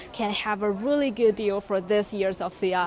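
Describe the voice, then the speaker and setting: In a Chinese accent, a woman speaks with ordinary pitch variation, the sound dry with no echo and some light background noise. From China. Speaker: journalist. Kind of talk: short interview. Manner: halting. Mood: upbeat, friendly. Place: hall. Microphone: handheld.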